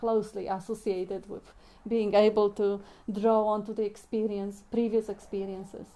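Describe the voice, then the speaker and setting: A woman with a non-native accent speaks at a moderate pace in a dark, mellow tone with monotone, flat intonation. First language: not English. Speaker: spiritual discussion moderator. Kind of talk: spiritual group discussion. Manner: halting.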